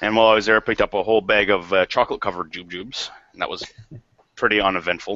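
At a very fast pace, a man speaks in a fairly low voice with monotone, flat intonation. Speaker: arcade collector, panel regular. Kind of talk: casual chat. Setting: video call.

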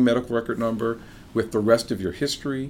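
A man with an ordinary speaking voice, medium pitch, and a fairly quick pace. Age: 50s. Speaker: podcast host and informatician. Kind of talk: casual chat. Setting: home bar.

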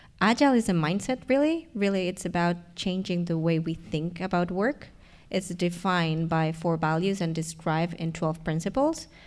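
With an Argentine accent, a woman speaks at a moderate pace and fairly low pitch with ordinary pitch variation, on a very clean recording with a silent background. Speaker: learning and development professional. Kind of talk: live panel discussion. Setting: stage with audience.

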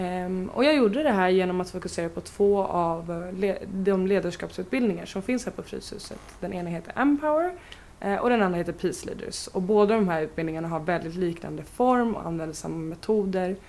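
A woman speaks at a fairly quick pace in a plain, everyday voice. Her pitch is medium, with ordinary variation. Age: 20s. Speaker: youth participation project leader. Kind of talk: interview.

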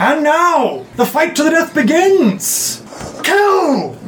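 Very slow and high-pitched, this is a put-on character voice. Clear background noise is heard. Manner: shouting.

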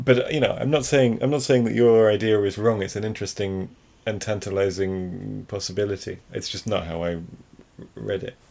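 Speaking at a moderate pace, a man with an ordinary speaking voice and a fairly low pitch shows ordinary pitch variation. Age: 30s. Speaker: film podcast co-host. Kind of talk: casual chat.

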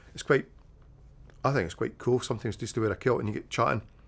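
A man with a Scottish accent at a very fast pace. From Scotland. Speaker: tartan cloth salesman. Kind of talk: casual chat.

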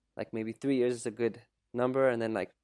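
On a very clean recording with a silent background and a dry, close sound with no echo, a man speaks very fast at a medium pitch in a Canadian accent, his intonation monotone and flat. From Canada. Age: 30s. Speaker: content creator and coach. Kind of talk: casual interview conversation.

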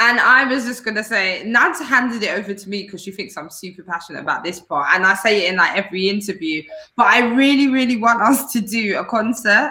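In a London accent, the voice races at a very fast pace with hardly any pauses, ordinary pitch variation and big swings in loudness, over noticeable background noise. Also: woman, fairly high pitch for a woman. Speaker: dancer and singer. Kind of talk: interview.

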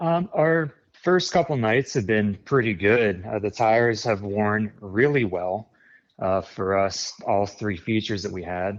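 In an American accent, a normal speaking voice moves at a fairly slow pace with lively intonation against a quiet background. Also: man, fairly low pitch for a man. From central Pennsylvania, near Harrisburg. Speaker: sprint car tire specialist, former teacher. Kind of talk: interview.

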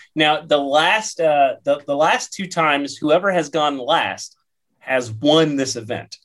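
The speaker uses an ordinary speaking voice at a fairly slow pace. Pitch varies in an ordinary way. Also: man. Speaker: podcast co-host. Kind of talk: casual panel discussion, informative.

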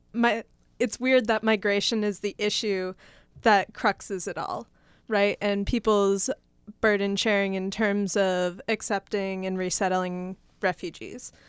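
Her American accent comes through as a woman speaks fairly slowly at a medium pitch in a monotone, flat intonation. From US Northeast (Massachusetts). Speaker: student policy researcher. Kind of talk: roundtable discussion. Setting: radio studio.

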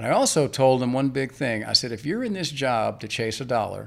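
Here a man with an American accent speaks at a medium pitch with lively intonation and vocal fry. The recording is very clean, with a silent background. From Northern Virginia, US. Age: 60s. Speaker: mortgage lender. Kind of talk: interview. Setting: studio.

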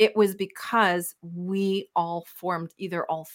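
A woman with a Canadian accent is heard on a very clean recording against a silent background. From Canada, Winnipeg, Manitoba. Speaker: wellness coach. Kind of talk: interview. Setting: live-streamed recording. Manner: animated.

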